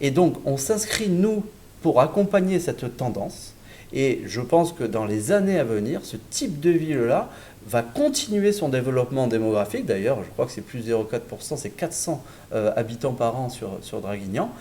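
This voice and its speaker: A man's medium-pitched voice in a southern French accent, dark and mellow in tone, with very wide pitch swings. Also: moderate pace. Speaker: real estate developer representative. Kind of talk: sales presentation in online webinar. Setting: virtual event broadcast. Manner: hesitant, with filler words and repetitions.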